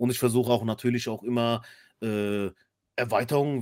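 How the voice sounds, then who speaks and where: A man speaks at a moderate pace and medium pitch. He has a plain, everyday voice. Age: 30s. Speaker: podcast co-host. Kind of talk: casual chat.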